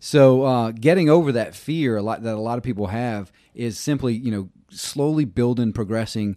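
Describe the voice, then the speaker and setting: A man with a Southern US accent, medium-pitched and dark and mellow in tone, at a moderate pace with ordinary pitch variation, in a very clean recording with a silent background. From Louisiana, US South. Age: 40s. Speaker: mountain bike instructor. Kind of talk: casual chat.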